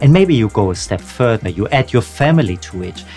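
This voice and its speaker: Faint music plays in the background as a man speaks with a fairly low pitch. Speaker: career coach youtuber. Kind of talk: educational talk to camera. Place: home room.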